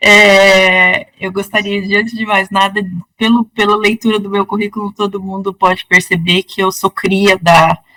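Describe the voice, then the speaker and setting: With a bright, sharp tone at a medium pitch, a woman speaks fairly slowly in a flat monotone, recorded dry and close with no echo. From northern Paraná, Brazil. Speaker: law professor. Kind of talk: interview.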